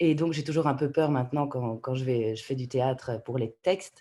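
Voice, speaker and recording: Her very deep, low pitch carries a dark, mellow tone as a woman speaks at a moderate pace with ordinary pitch variation. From Canada. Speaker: voice actor. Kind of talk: interview answer.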